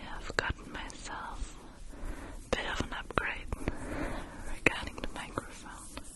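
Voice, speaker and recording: A woman whispers at a very slow pace, her loudness swinging widely. Background noise is noticeable. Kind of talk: casual talk to camera, in English. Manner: soft, relaxing.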